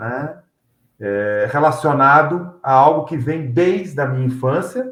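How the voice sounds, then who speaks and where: At a very slow pace, a man speaks with a fairly high pitch. His pitch variation is ordinary. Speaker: announcer and MC. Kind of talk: interview.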